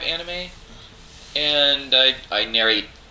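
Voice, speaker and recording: A man with a fairly high voice speaks at a fairly slow pace, his pitch swinging very widely. Noticeable background noise runs underneath. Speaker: voice actor. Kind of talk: casual chat. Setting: convention.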